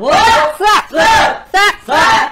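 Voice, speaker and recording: A woman shouting loudly over noticeable background noise. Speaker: livestream seller. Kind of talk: live-stream sales pitch. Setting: live-stream room. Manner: fast, loud, hard-sell pitchman patter with countdowns and repeated prices; urgent, rhythmic, shouting 'get on board' calls to 'old iron' buyers. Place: home room. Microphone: lapel.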